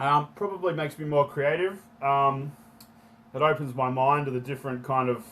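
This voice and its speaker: A man with an Australian accent speaks at a moderate pace, his fairly high voice keeping a fairly even intonation. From Australia, Sydney Northern Beaches. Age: 30s. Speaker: entrepreneur and activist, former pro skier. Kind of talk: podcast interview. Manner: casual, with many fillers.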